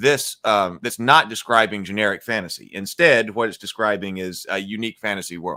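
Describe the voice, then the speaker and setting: A man talks at a moderate pace at medium pitch in a bright, sharp tone, captured in a very clean recording with a silent background. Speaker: gaming and fantasy live stream host. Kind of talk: casual live stream talk. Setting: live stream.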